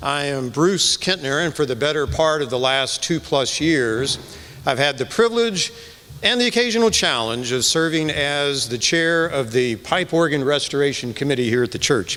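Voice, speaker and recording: Over noticeable background noise, a man with an American accent speaks at a fairly high pitch with lively intonation. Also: moderate pace. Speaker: church committee chair. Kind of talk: speech introducing a concert. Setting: church with live audience.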